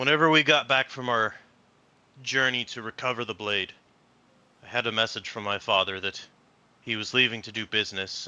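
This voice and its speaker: Putting on a character voice at medium pitch, a man talks at a fairly quick pace with long, frequent pauses over a quiet background. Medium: actual play. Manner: terse, grim.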